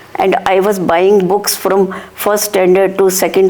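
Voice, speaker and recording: Over noticeable background noise, a woman speaks at a medium pitch and a fairly slow pace. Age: 60s. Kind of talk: interview.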